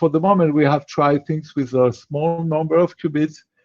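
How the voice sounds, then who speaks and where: This man has a French accent and a dark, mellow tone set at a fairly high pitch. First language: Spanish. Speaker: quantum machine learning researcher, startup founder. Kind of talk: online Q&A talk. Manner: halting, many fillers and repetitions.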